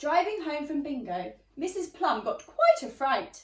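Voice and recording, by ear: The woman's pitch is high and takes big swings. She speaks at a fairly slow pace.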